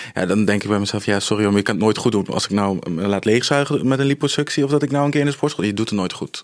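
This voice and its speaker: A man delivers his words very fast in a fairly low pitch. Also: ordinary pitch variation. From Netherlands, Apeldoorn (Gelderland). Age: 20s. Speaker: influencer undergoing cosmetic surgery. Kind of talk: casual interview.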